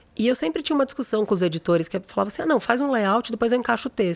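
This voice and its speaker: Talking at a very fast pace, a woman uses a fairly high pitch. Her pitch swings very widely. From São Paulo, Brazil. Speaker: creativity consultant, former journalist and art director. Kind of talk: interview conversation. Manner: animated.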